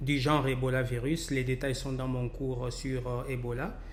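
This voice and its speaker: A man's fairly slow speech carries audible room echo, with noticeable background noise around it. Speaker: professor, virologist. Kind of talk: lecture. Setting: recorded webinar presentation. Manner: halting, many fillers.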